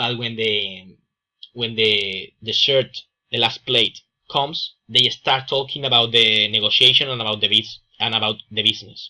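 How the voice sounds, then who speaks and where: With a strong Andalusian accent, a man speaks at a moderate pace with fairly even intonation. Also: medium pitch for a man. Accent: strong Andalusian Spanish accent, drops S. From Spain, Andalusia. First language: Spanish. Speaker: student presenter. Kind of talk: class presentation. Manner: halting, many fillers.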